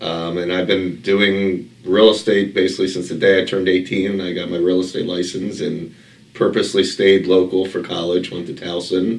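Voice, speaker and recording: With audible room echo, a man speaks in an American accent at a moderate pace, his very deep, low voice held to a monotone, flat intonation. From Baltimore, Maryland. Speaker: real estate investor. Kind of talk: interview. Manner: conversational, many fillers.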